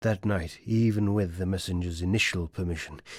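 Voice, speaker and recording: A man with a British RP accent speaks at a moderate pace with ordinary pitch variation on a very clean recording with a silent background. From England. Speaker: voice actor. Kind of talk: audiobook narration.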